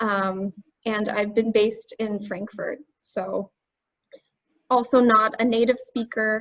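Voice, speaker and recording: Flat and monotone, a woman with an American accent speaks at a fairly high pitch. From United States. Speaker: language tutor. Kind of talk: webinar.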